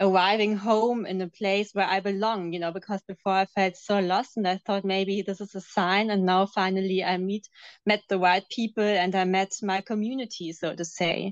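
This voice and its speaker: With a German accent, a woman speaks at a medium pitch with fairly even intonation. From Germany. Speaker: former cult member. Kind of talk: interview testimony. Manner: hesitant, many fillers.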